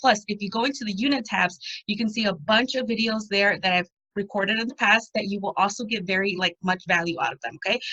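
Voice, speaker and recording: Speaking at a very fast pace, a woman with an American accent has a medium pitch and a bright, sharp, animated tone. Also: ordinary pitch variation. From Chicago. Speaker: online coach for moms. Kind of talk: live video training. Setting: livestream.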